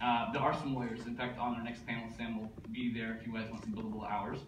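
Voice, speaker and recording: A man keeps his intonation fairly even. Around him are noticeable background noise and audible room echo. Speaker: conference speaker, tech company executive. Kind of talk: conference presentation. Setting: stage with audience. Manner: fast.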